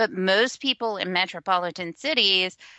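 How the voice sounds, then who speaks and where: Captured in a very clean recording with a silent background, a woman speaks in a Texan accent. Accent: Texan, mild in everyday speech. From West Texas, small rural town. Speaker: blogger. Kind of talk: casual chat.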